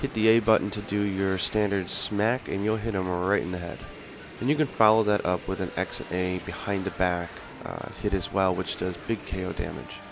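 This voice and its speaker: Music plays behind a man whose fairly low voice keeps a fairly even intonation. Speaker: video game commentator. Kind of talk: gameplay tutorial commentary. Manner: casual.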